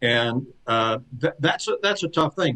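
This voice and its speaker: A man talks at a moderate pace and medium pitch. His intonation is lively. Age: 60s. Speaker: flooring industry consultant. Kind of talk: podcast interview. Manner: halting, many repeated words.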